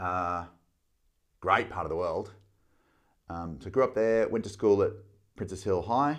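A man talks with an Australian accent at a fairly low pitch and fairly slow pace. His pitch varies in an ordinary way, with long, frequent pauses against a quiet background. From Australia, Melbourne. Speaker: business coach. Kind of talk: casual chat.

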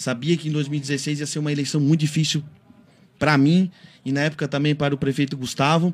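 Somewhat breathy, the voice moves at a fairly quick pace with flat, monotone intonation. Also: man, fairly high pitch for a man. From Santa Catarina, Brazil. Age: 30s. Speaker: city councillor. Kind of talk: radio interview. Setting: radio studio. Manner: halting.

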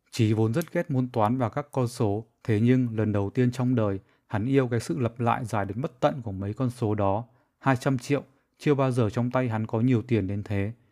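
Over a silent background on a very clean recording, a man speaks in a dark, mellow tone at medium pitch. His intonation is fairly even and his pace moderate. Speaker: author reading own short story. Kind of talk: reading aloud.

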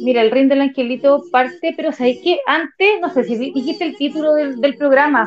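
Here a woman speaks with a Chilean accent at a high pitch and ordinary pitch variation. Her pace is fairly quick, with hardly any pauses. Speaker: psychologist. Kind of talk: casual chat.

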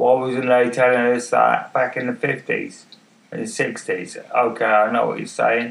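A man speaks at a fairly slow pace with an English accent. Noticeable background noise sits behind him. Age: 50s. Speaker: podcaster with MS. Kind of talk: casual monologue. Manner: halting, many fillers. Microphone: far from the mic.

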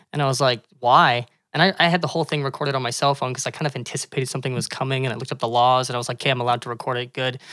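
Bright and sharp in tone, a man talks at a very fast pace. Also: medium pitch for a man, fairly even intonation, hardly any pauses. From Calgary, Alberta, Canada. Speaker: parkour gym co-owner and coach. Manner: fast talker.

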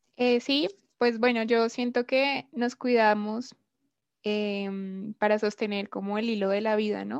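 With long, frequent pauses, a woman speaks at a fairly slow pace and fairly high pitch with fairly even intonation, in a very clean recording with a silent background. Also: dry, close sound with no echo. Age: 20s. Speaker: anthropology student. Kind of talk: casual podcast discussion. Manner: hesitant, with fillers.

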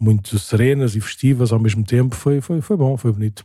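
The voice has a dark, mellow tone and ordinary pitch variation at a moderate pace. The recording is very clean with a silent background. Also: man. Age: 40s. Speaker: parish priest, podcast host. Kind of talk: casual chat.

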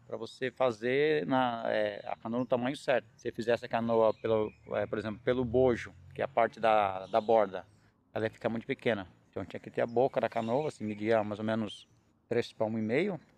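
Speaking at a fairly quick pace, a man of medium pitch keeps his intonation fairly even while his loudness swings widely. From Brazil, São Paulo coast (Ilhabela, caiçara community). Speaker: fisherman and oar maker. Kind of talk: casual chat. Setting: outdoors.

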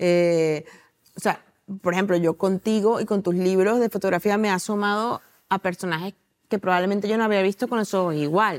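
A woman with an unremarkable speaking voice talks at a medium pitch with fairly even intonation and very even loudness, in a very clean recording with a silent background and a dry, close sound with no echo. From Venezuela. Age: 40s. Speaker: novelist and journalist. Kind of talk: interview.

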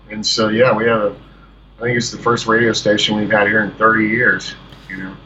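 Against noticeable background noise, a man speaks at a fairly quick pace in a monotone, flat intonation. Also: medium pitch for a man, big swings in loudness. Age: 40s. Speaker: musician and filmmaker. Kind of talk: casual phone interview.

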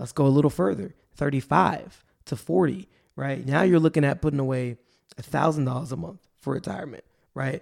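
A man's fairly high-pitched, ordinary speaking voice at a fairly quick pace, with lively intonation. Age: 20s. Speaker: personal finance podcast host. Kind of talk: solo podcast monologue. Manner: casual with frequent fillers.

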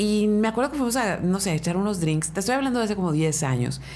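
In a northern Mexican accent, a woman talks at a very fast pace with lively intonation. Audible room echo surrounds her voice. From Mexicali, Baja California, Mexico. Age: 40s. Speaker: radio host. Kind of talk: casual chat. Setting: studio.

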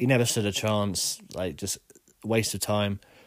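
With an English accent, a man speaks at a moderate pace in a very clean recording over a silent background. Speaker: podcast host. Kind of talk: solo opinion monologue.

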